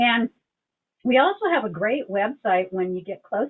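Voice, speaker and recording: With lively intonation and a fairly high pitch, a woman talks at a fairly quick pace. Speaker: League of Women Voters presenter. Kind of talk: presentation on a video call. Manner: fast.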